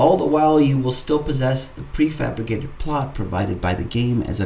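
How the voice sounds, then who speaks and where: A man at a fairly quick pace and medium pitch, with audible room echo and noticeable background noise. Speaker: gaming YouTuber. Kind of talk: gameplay tutorial narration. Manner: formal; stuttering.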